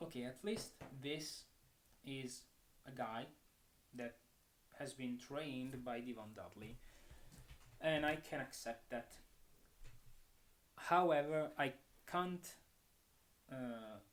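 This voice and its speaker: A man with a non-native accent speaks at a very slow pace, leaving long, frequent pauses, his medium pitch showing ordinary variation. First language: not English. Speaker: wrestling commentator. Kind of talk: solo commentary. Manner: animated.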